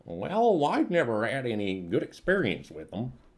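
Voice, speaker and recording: Someone uses a put-on character voice with very wide pitch swings at a moderate pace. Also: man, medium pitch for a man. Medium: actual play. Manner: easygoing, casual.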